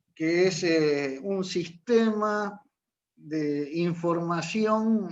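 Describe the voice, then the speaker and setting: This man talks at a very slow pace. His pitch is high, with ordinary pitch variation. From Uruguay. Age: 60s. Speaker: marine pilot and teacher. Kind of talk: interview. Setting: video call.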